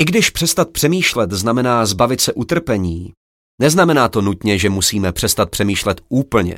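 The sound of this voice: Quiet background behind an unforced reading voice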